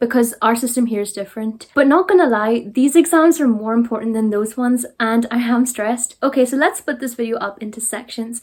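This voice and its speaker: Speaking fairly quickly in a Derry accent, a woman has a fairly high pitch. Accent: Northern Irish, Derry. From Northern Ireland. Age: young. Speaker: sixth-form student. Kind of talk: casual talk to camera.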